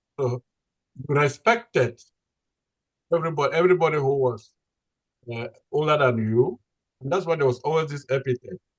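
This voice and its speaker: Somewhat breathy, a man talks at a fairly quick pace with long, frequent pauses, a fairly high pitch and ordinary pitch variation. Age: 80s+. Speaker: retired history professor and author. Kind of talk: interview. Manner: halting.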